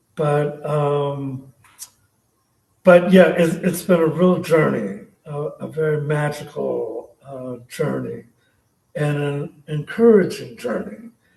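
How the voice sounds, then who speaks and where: In an American accent, a somewhat breathy man speaks at a very slow pace with long, frequent pauses, a fairly high pitch, ordinary pitch variation and big swings in loudness. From San Francisco Bay Area, US. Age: 60s. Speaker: poet. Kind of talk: casual talk at a reading. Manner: halting, many fillers.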